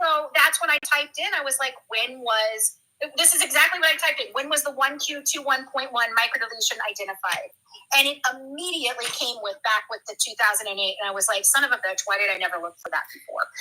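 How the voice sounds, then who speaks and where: Talking very fast in a raised, projected voice, a woman sounds animated, with a high pitch and lively intonation. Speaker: true crime commentator. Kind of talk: casual chat. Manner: loud.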